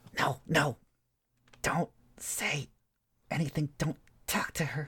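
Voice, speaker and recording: Someone whispers in a put-on character voice. The pace is fairly slow. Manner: hushed, urgent warning.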